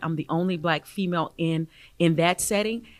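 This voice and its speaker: A woman's fairly low voice with a Southern US accent and ordinary pitch variation, on a very clean recording with a silent background. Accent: Southern twang. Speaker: athletics director. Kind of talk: interview.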